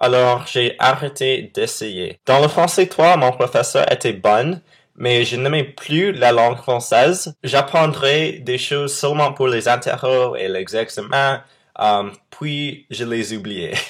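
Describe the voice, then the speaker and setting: In an English accent, a man talks at a very slow pace at medium pitch with ordinary pitch variation, on a very clean recording with a silent background. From Texas. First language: English (speaking French). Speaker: vlogger. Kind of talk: casual vlog monologue. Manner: hesitant, frequent euh fillers.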